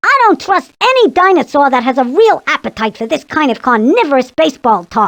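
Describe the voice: This put-on character voice is high-pitched and fairly quick. It runs on with hardly any pauses.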